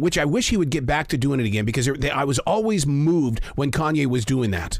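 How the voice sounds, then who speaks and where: Amid noticeable background noise, a man with a fairly high pitch speaks at a very fast pace with lively intonation. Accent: American. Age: 60s. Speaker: podcast host. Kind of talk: interview.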